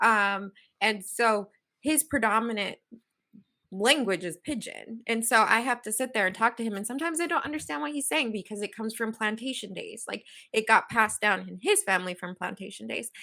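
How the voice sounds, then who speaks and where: In a very clean recording with a silent background, a woman with a Southern Californian accent speaks fairly quickly in a bright, sharp tone, her fairly high pitch carrying lively intonation and big swings in loudness. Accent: Valley Girl. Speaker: podcast co-host. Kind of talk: casual panel discussion.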